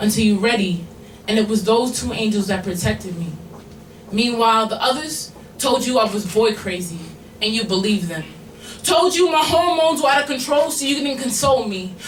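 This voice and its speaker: A woman speaks at a fairly quick pace in a fairly high voice, her pitch swinging very widely. Noticeable background noise runs underneath. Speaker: slam poet. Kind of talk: spoken word poetry performance. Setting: live bar venue with audience.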